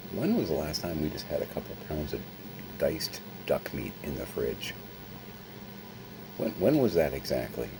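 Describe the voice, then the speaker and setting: A man talks at a moderate pace, leaving long, frequent pauses. Noticeable background noise runs underneath. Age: 50s. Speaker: vlogger. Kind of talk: casual vlog monologue. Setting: at home, late at night.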